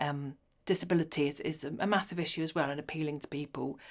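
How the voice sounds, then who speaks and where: Fairly even intonation in a woman's very deep, low-pitched voice. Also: very clean recording, silent background. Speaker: HR consultant. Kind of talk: interview. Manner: fast.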